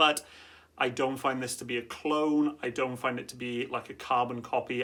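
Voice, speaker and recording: At a moderate pace, a man with a medium pitch speaks in a monotone, flat way. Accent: Welsh. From Wales. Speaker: fragrance reviewer. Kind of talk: product review. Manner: casual, conversational.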